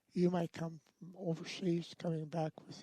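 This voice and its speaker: A man with an American accent speaks at a fairly high pitch in a dark, mellow tone. The sound is dry and close, with no echo. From US West Coast, Los Angeles. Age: 80s+. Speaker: war veteran. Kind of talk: interview.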